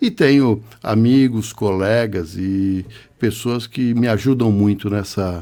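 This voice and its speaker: A man's fairly low, dark, mellow voice, very slow in pace, with fairly even intonation. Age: 60s. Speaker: biomedical scientist and physiologist. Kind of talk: podcast interview.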